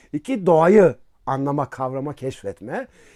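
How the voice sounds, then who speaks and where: Recorded very cleanly against a silent background, a man talks at a fairly slow pace with a fairly high pitch. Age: 50s. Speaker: philosophy professor. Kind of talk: casual interview talk. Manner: hesitant, with filler sounds.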